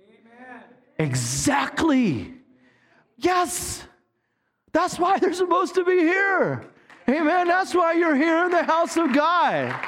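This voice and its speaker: Extremely high in pitch, a man talks at a very slow pace with long, frequent pauses. His pitch variation is ordinary. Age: 50s. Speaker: pastor. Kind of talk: sermon. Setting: church with live congregation. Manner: animated.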